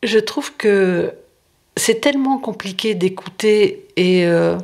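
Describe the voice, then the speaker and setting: A woman's medium-pitched voice with lively intonation, at a very slow pace. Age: 70s. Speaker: retired occupational doctor, helpline volunteer. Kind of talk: testimony. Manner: hesitant, frequent fillers.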